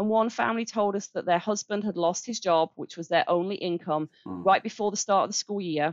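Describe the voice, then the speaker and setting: A woman with an English accent, medium in pitch with ordinary variation, at a fairly quick pace. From Birmingham, England. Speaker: charity director. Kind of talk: interview.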